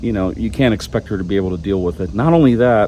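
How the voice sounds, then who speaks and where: A man speaks with lively intonation. Noticeable background noise runs behind him. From Europe (Poland, Germany). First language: Polish. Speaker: vlogger. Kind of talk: casual vlog monologue. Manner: hesitant, many fillers.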